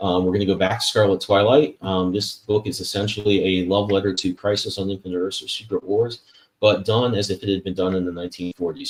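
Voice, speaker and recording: Fairly low, somewhat breathy male voice with monotone, flat intonation at a fairly quick pace. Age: 40s. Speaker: comic book artist and show host. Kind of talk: casual interview chat with book promotions.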